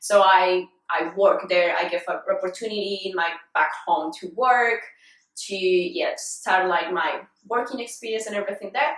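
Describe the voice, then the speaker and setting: At a moderate pace, a woman with a Colombian accent speaks at a medium pitch with ordinary pitch variation. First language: Spanish. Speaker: fitness vlogger. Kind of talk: casual interview.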